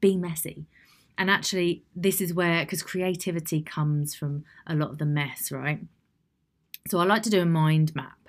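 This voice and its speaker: A woman speaks at a moderate pace in a fairly low voice. The recording is very clean, with a silent background. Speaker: solo podcast host, personal development coach. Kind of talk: solo podcast monologue, guidance tutorial. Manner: animated.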